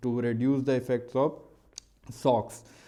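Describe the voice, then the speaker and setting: Dark, mellow tone from a man with an Indian accent, medium pitch, and audible room echo. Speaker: maritime engineering teacher. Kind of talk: lecture. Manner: fast; hesitant, many fillers.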